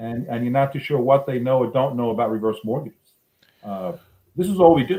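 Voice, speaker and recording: A man's medium-pitched voice carries a dark, mellow tone and lively intonation. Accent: New York. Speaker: reverse mortgage loan officer. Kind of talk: casual interview.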